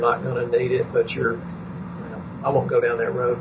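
A man speaking with an American accent is heard over noticeable background noise. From Texas. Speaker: chiropractor and nutrition practitioner. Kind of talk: casual interview. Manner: jokey, folksy.

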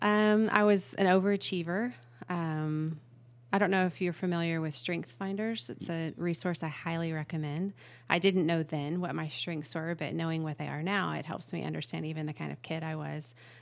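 A woman with a plain, everyday voice speaks at a moderate pace and fairly low pitch, with ordinary pitch variation, on a very clean recording with a silent background. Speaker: nonprofit business founder. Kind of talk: interview.

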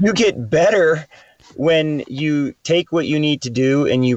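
Lively intonation runs through an unremarkable speaking voice. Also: man. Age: 40s. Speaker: climbing coach and teacher. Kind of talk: casual chat.

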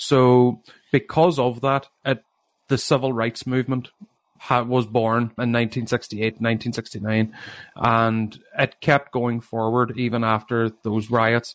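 A man's fairly slow, medium-pitched, monotone and flat delivery, dry and close with no echo. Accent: Northern Irish. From Northern Ireland, Derry. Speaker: author. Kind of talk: interview.

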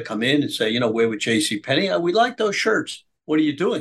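Speaking at a fairly quick pace, a man with a New York accent uses lively intonation. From US Northeast, Brooklyn, New York. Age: 80s+. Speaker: businessman and political activist. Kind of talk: interview storytelling.

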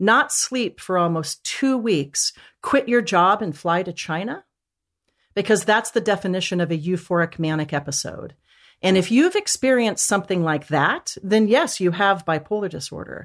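A woman's normal speaking voice at medium pitch, with lively intonation and a quiet background. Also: moderate pace. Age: 50s. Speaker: mental health author and coach. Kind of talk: interview.

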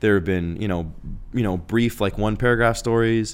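At a moderate pace, a man with a fairly low pitch and an American accent talks in an unremarkable speaking voice with fairly even intonation. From Arizona (Phoenix). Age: 30s. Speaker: tech journalist. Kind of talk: casual chat. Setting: studio.

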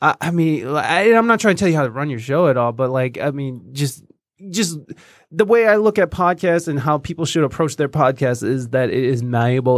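On a very clean recording with a silent background, a man speaks with lively intonation. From Michigan. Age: 30s. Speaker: podcaster. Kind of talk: casual chat. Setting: studio. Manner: fast.

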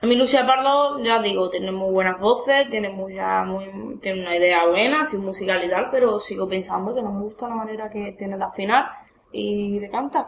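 A woman speaks in an Andalusian accent at medium pitch and a moderate pace. Noticeable background noise runs underneath. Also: ordinary pitch variation. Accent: Andalusian Spanish (Cádiz). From Andalusia, Spain (Cádiz province). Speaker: guest commentator. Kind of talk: casual chat. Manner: animated.

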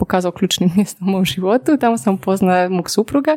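A woman talks at a fairly quick pace and a medium pitch. Her tone is dark and mellow, her intonation lively. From Poland. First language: Polish (speaking Croatian). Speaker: business consultant. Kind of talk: interview. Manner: fast.

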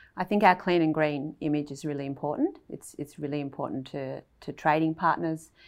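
A woman speaks with an Australian accent at a fairly quick pace. Her pitch is very deep and low, and her intonation fairly even. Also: quiet background. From Australia, Melbourne. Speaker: veterinarian. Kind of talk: casual chat.

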